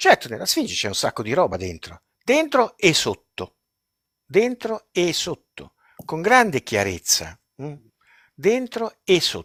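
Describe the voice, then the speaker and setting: The speech moves at a very slow pace with long, frequent pauses and big swings in loudness, in a dry, close sound with no echo. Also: man. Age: 70s. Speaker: retired chemistry professor and researcher. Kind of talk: live-stream interview. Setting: live stream. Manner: animated.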